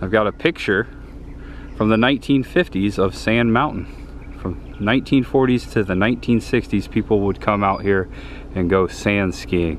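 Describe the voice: With a fairly low pitch and ordinary pitch variation, the man talks at a moderate pace.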